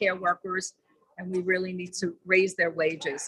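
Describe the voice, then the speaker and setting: A woman's medium-pitched voice comes at a fairly slow pace, with a dry, close sound and no echo. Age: 70s. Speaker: activist. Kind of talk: short statement at a protest.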